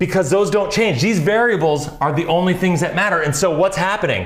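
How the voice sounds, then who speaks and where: Amid noticeable background noise and audible room echo, a man with a high pitch speaks in an animated tone at a fairly quick pace, his loudness very even and his pitch varying in an ordinary way. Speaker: financial advisor and channel host. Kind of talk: casual chat. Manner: fast.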